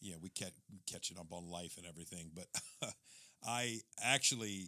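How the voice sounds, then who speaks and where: Loud, bright, sharp tone at a moderate pace, with ordinary pitch variation and a dry, close sound with no echo. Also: man, very deep, low pitch for a man. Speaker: podcast co-host. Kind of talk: casual chat. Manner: animated.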